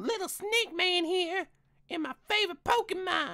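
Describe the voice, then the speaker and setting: The pace is moderate. An extremely high pitch marks this put-on character voice. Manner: playful, cartoonish.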